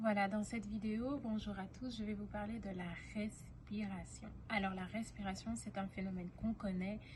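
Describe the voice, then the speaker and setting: Over audible room echo, a woman with vocal fry speaks at medium pitch and a moderate pace in a monotone, flat way. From Belgium, Brussels. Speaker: singing teacher. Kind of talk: tutorial. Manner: halting, many fillers.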